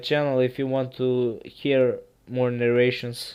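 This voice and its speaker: A man speaks at a medium pitch. He has a Serbian accent. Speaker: creepypasta narrator. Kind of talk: casual chat; reading aloud. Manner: halting.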